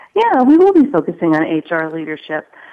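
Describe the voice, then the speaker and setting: A woman's fairly low voice, a plain, everyday voice, at a moderate pace. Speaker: HR technology panelist. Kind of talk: panel discussion.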